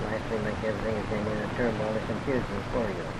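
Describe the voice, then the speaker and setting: Words come out very fast in a flat monotone, with audible room echo and noticeable background noise. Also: man. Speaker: astrologer. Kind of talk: astrology reading.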